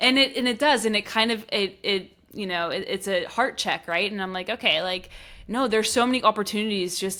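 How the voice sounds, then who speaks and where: In a very clean recording with a silent background, a woman with an American accent talks at a fairly quick pace in a bright, sharp tone with fairly even intonation. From Pittsburgh, US. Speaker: podcast host. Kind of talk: casual interview chat.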